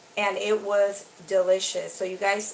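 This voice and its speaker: A woman speaks in a monotone, flat delivery over noticeable background noise. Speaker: cooking vlogger. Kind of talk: casual tutorial. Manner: chatty.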